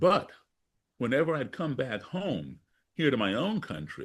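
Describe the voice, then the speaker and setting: Male voice with an American accent, set against a quiet background. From US, grew up partly abroad as embassy child. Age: 60s. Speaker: blues musician and activist. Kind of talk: interview storytelling.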